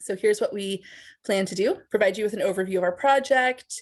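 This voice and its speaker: Against a quiet background, a woman talks at a fairly quick pace with a medium pitch and ordinary pitch variation. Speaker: associate professor of social work. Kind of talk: academic presentation. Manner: fast.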